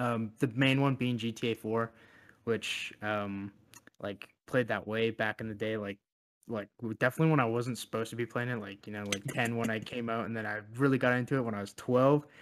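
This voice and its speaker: In an unremarkable speaking voice, a man talks at a fairly quick pace with a medium pitch and fairly even intonation. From Canada. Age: 20s. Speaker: podcast co-host. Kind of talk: casual chat.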